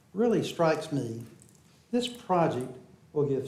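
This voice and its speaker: The man speaking has a high pitch. Audible room echo and noticeable background noise fill the recording. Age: 70s. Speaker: public commenter at city council. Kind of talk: public comment speech. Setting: city council meeting chamber.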